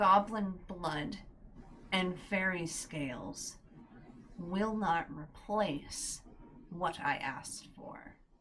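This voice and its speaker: A woman uses a put-on character voice at a medium pitch, speaking at a very slow pace. Long, frequent pauses break up her words, and hissing can be heard. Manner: menacing, demanding.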